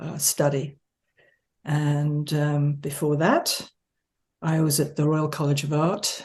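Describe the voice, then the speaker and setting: With an American accent, a woman speaks at a very slow pace in a very deep, low pitch. Her voice is somewhat breathy, and her intonation is monotone and flat. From England and the US. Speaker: architecture professor. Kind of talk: interview. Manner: hesitant, many fillers.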